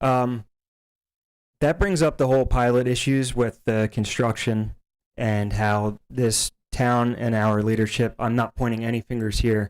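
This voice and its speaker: A man with an American accent speaks in an ordinary speaking voice at medium pitch, keeping a fairly slow pace, very even loudness and fairly even intonation. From New Jersey, Hopewell area. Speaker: local resident speaking at public comment. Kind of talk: public comment at school board meeting.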